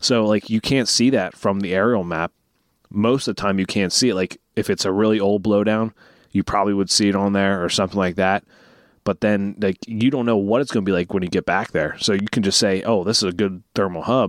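A man with an unremarkable speaking voice, fairly low in pitch, fairly quick, with fairly even intonation and very even loudness, on a dry, close, very clean recording with a silent background and no echo. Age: 20s. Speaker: podcast host. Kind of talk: casual chat.

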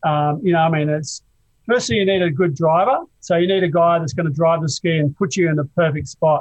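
With an Australian accent, a man talks at a fairly quick pace, his pitch high and his pitch variation ordinary. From Adelaide, South Australia. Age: 60s. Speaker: surf film cinematographer and director. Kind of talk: casual interview.

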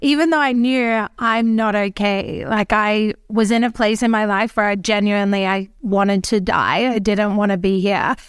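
A woman with an Australian accent speaks at a moderate pace, her fairly high voice keeping fairly even intonation in a very clean recording with a silent background. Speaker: empowerment mentor and podcaster. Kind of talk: casual interview chat.

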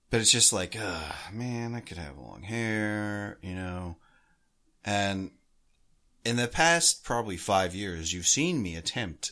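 A man speaks very slowly at a very deep, low pitch, his tone bright and sharp. His intonation is lively, his loudness swings widely, and the recording is very clean with a silent background. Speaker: hockey podcast co-host. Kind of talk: casual chat.

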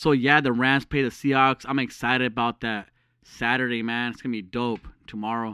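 Medium-pitched male voice, bright and sharp in tone, fairly quick, with monotone, flat intonation. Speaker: podcast host. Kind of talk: casual chat. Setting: phone call.

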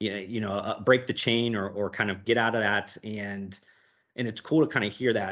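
With an American accent, this man talks at a fairly quick pace in a plain, everyday voice, fairly low in pitch and with fairly even intonation. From Youngstown, Ohio, US. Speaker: podcast host, business consultant. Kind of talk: interview.

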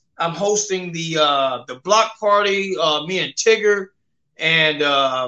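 A high-pitched man with a Memphis accent and ordinary pitch variation. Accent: Southern US, Memphis. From US South, Memphis, Tennessee. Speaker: comedian. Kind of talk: casual interview. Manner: halting, filler-heavy.

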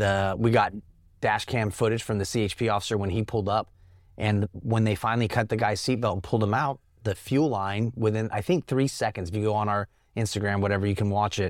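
Someone with an American accent talks at a very fast pace with fairly even intonation. The recording is very clean, with a silent background. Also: man, fairly low pitch for a man. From Northern California. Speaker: army veteran and nonprofit founder. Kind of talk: casual interview.

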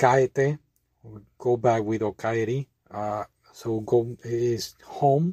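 A man with a dark, mellow tone, medium pitch, fairly even intonation, a very slow pace and long, frequent pauses. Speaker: language learning vlogger. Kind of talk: tutorial. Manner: casual, laughing.

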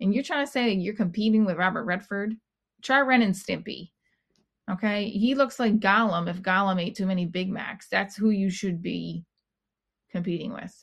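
Against a quiet background, a woman talks at a moderate pace in a medium pitch, with ordinary pitch variation and a somewhat breathy voice. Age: 40s. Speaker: podcast host and comedian. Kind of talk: personal monologue; stand-up. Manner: halting.

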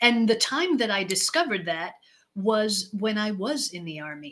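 The woman speaks at a fairly slow pace, her fairly high voice swinging very widely in pitch. The recording is very clean, with a silent background. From Israel. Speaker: leadership consultant. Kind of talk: interview.

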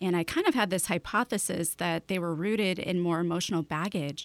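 Here is a normal speaking voice from a woman with an American accent. She talks at medium pitch and a fairly quick pace. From Chicago. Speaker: esthetician, hypnotherapist and medium. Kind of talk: interview conversation. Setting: Skype call.

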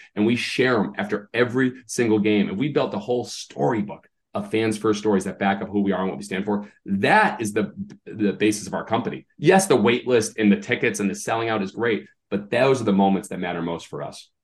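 The speaker talks at a fairly quick pace with an animated tone and an American accent. Pitch variation is ordinary. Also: man, fairly low pitch for a man. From US Northeast (Massachusetts). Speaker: baseball team owner and author. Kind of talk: interview.

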